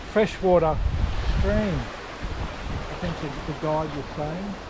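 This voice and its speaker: Over noticeable background noise, a man speaks with an Australian accent at a moderate pace. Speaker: travel vlogger. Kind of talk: casual walking vlog narration. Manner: casual with fillers; whispering.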